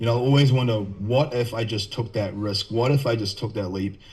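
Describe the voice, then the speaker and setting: Speaking with a New Zealand accent, a man uses a medium pitch and ordinary pitch variation amid audible room echo. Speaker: nutrition and health coach. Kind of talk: podcast interview.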